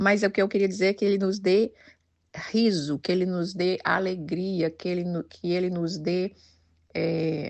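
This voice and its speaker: In a plain, everyday voice, a woman speaks at medium pitch and a fairly slow pace with fairly even intonation. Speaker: women's devotional leader. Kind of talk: devotional talk.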